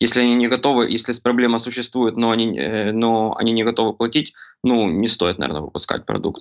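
This man's voice sits at a medium pitch and moves at a fairly quick pace. His intonation stays fairly even. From Ukraine, Kremenchuk (Poltava region). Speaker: product designer. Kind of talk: casual interview. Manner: halting, many fillers and restarts.

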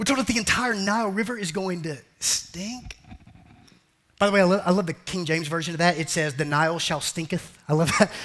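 A man in a high pitch with an animated tone, ordinary pitch variation and a fairly quick pace. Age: 40s. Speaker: pastor. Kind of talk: sermon.

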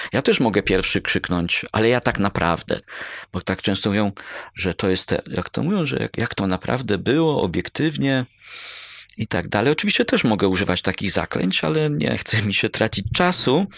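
A man speaks at a moderate pace with very wide pitch swings. The recording is very clean, with a silent background and a dry, close sound with no echo. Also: fairly low pitch for a man. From Poland, Bydgoszcz area (Kuyavia-Pomerania). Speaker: history professor. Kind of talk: interview. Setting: in a university culinary heritage centre.

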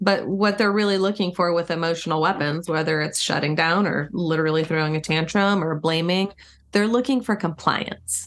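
At a moderate pace, a woman with a fairly low pitch and ordinary pitch variation speaks in an ordinary speaking voice. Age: 50s. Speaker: marriage and relationship expert. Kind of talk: interview conversation.

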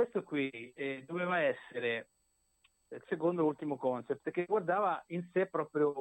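Speaking fairly slowly with long, frequent pauses, a man uses a fairly high pitch and ordinary pitch variation. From Italy, Marche (Macerata). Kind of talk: interview. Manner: halting.

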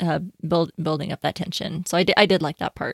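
A woman's plain, everyday voice, fairly low in pitch and fairly quick in pace, with a dry, close sound and no echo. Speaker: podcast co-host. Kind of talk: casual chat.

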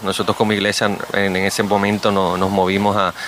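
Noticeable background noise surrounds a man's voice. He speaks at a moderate pace with a fairly low pitch. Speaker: pastor. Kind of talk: radio interview.

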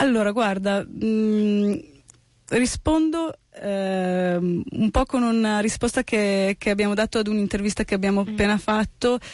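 A woman talks at a fairly slow pace in a plain, everyday voice, fairly high in pitch. Her loudness stays very even, and her pitch varies in an ordinary way. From Italy, born in the US. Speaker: musician and songwriter. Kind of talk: radio interview. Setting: radio studio.

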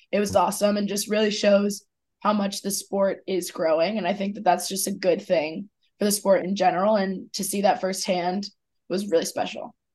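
A woman with an American accent speaks at a moderate pace in a monotone, flat intonation, somewhat breathy, against a quiet background. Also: medium pitch for a woman. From Philadelphia, US. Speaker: college lacrosse player. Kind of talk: sports interview.

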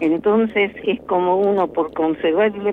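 Speaking at a fairly slow pace, a woman uses a medium pitch and lively intonation. Noticeable background noise is present. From Argentina (born in Tucumán, raised mainly elsewhere). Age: 90s. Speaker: lawyer and professor, human rights activist. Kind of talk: radio interview.

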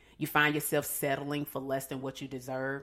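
Someone with an American accent speaks at a fairly quick pace in a very clean recording with a silent background. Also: woman. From Atlanta, US South. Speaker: divorce coach. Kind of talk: casual interview.

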